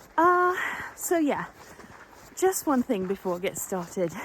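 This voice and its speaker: With noticeable background noise behind her, a woman talks at a moderate pace, her pitch swinging very widely. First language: not English. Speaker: sewing vlogger. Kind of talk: casual chat. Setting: outdoors. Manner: hesitant, with fillers.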